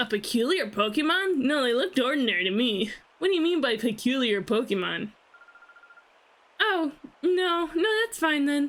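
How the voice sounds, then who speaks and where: Putting on a character voice, a woman speaks at a high pitch with very wide pitch swings, a moderate pace and long, frequent pauses. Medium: game stream. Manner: sweet, polite.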